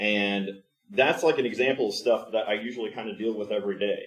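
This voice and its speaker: The pace is fairly quick. It is a man talking. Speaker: conference speaker. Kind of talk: conference talk. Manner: fast.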